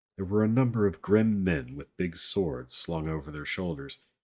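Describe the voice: Ordinary pitch variation in plain reading aloud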